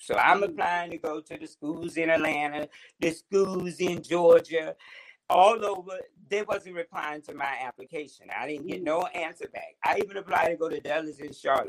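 Speaking in an American accent, a man has a high pitch. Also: dry, close sound with no echo. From Orangeburg, South Carolina, US South. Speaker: celebrity hairstylist. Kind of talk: casual interview. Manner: animated.

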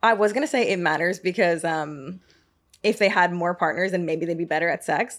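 On a very clean recording with a silent background, a woman has an ordinary speaking voice. She speaks at a fairly low pitch and a moderate pace in an American accent. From US South, Georgia (Marietta). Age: 30s. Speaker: podcast host. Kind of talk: casual chat. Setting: studio.

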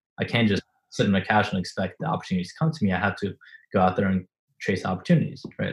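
The voice has a non-native accent and a slightly husky edge. It moves at a fairly quick pace with little pitch movement. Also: man.

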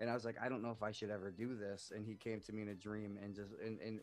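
An ordinary speaking voice from a man, fairly low in pitch. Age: 30s. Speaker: army veteran, nonprofit podcaster. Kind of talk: casual chat.

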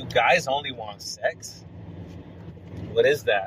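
Noticeable background noise accompanies a man speaking at a fairly slow rate. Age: 30s. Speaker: podcast host. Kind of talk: casual monologue.

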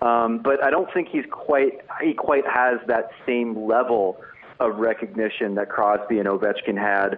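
Against noticeable background noise, a man talks at a fairly slow pace in a medium pitch, with very even loudness and ordinary pitch variation. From New Jersey, US. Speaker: sports writer. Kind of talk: casual interview. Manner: halting with many repeated fillers.

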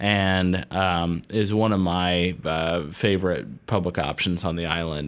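A man with a very deep, low pitch speaks very slowly in a fairly even intonation. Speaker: golf podcast host. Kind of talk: casual chat. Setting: office studio.

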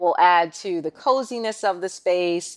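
A woman of medium pitch speaks in an unremarkable speaking voice with ordinary pitch variation in a very clean recording with a silent background. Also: dry, close sound with no echo. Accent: American. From New York City (Queens). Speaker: content creator. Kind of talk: interview.

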